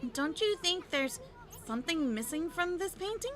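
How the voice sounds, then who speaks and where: A woman speaks at a moderate pace in a put-on character voice with an extremely high pitch over clear background noise. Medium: game stream. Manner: chatty, quick.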